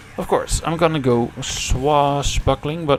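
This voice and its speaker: Over music in the background, a man with a non-native accent speaks at a very slow pace. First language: not English. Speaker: game streamer. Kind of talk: gameplay livestream commentary. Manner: casual, thinking aloud.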